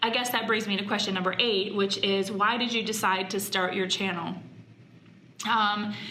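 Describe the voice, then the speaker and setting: Audible room echo and noticeable background noise accompany a woman's voice. She talks at a moderate pace in a monotone, flat intonation. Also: medium pitch for a woman. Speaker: YouTuber, mom and former wedding planner. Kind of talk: casual vlog talk to camera. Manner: halting, many fillers.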